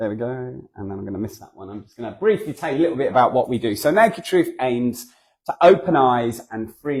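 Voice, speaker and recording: Here a man speaks in a southern English accent. His pitch is medium and his intonation lively. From southern England. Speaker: charity founder and guest speaker. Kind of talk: church talk. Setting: church. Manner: conversational, hesitant with fillers.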